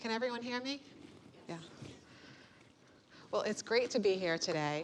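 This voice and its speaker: A woman with a Boston accent speaks with lively intonation. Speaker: motivational speaker, bombing survivor. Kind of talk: keynote speech. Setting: stage with audience. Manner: hesitant, many fillers.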